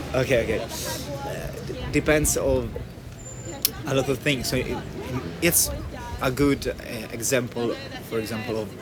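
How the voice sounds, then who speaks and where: With a non-native accent, a man speaks at medium pitch and a fairly slow pace, with ordinary pitch variation and long, frequent pauses, against music in the background and audible room echo. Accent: non-native English speaker. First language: Italian. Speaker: passer-by interviewed on street. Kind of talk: street conversation about veganism. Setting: outdoors in front of library. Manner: halting, searching for words.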